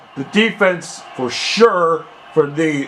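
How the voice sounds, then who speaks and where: Man at a high pitch with ordinary pitch variation, noticeable background noise behind him. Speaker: aspiring sports announcer. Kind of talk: American football play-by-play commentary.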